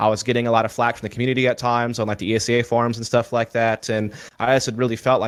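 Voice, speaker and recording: A man speaks at a very fast pace with a slight Southern US accent. His pitch is medium, and his intonation is monotone and flat. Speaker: esports commentator. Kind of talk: interview.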